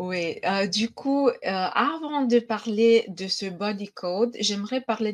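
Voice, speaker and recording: With a slight Romanian accent, a woman speaks at a medium pitch with ordinary variation against a quiet background. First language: Romanian (speaking French). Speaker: energy healing practitioner. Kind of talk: online conference talk. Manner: hesitant, many fillers.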